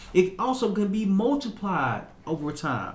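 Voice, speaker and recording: The speaker has an American accent and lively intonation, with audible room echo around the voice. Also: man. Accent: strong Southern US accent when relaxed. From US South, Little Rock, Arkansas. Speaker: motivational podcaster. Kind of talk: motivational talk. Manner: repetitive, stumbling in places.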